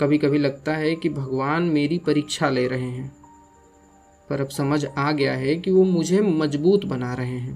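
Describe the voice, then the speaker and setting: A man speaks quietly at a fairly high pitch. Music plays in the background. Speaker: voiceover artist. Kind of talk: spiritual reflection monologue. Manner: slow, quiet; emotional.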